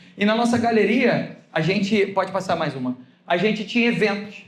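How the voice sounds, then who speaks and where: Over audible room echo, a man speaks in an animated tone. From Brazil. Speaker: pastor. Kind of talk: sermon.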